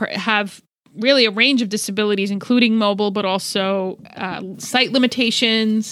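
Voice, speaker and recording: This woman has a plain, everyday voice and an American accent. She speaks at a moderate pace with a fairly high pitch and fairly even intonation. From New Jersey, US. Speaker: podcast co-host. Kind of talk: casual chat.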